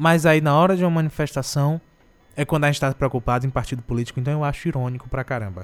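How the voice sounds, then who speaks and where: Very fast speech from a man with a fairly high pitch and ordinary pitch variation. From Brazil, Ceará (Morada Nova). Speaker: radio host. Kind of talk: casual chat. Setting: radio studio.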